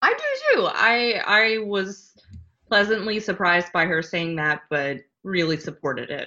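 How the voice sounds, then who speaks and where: Speaking fairly slowly with an American accent, a woman uses an unremarkable speaking voice at medium pitch with ordinary pitch variation. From US South, Louisiana. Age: 20s. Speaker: podcast guest, friend of host. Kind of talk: casual chat.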